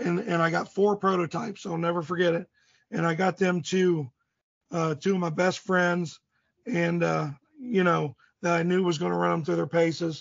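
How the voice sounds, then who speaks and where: A man speaks at a moderate pace with a high pitch. His intonation stays fairly even. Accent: Midwestern American. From US Midwest, southeast Indiana. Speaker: archery gear maker. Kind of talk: casual interview. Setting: phone call. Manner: rambling.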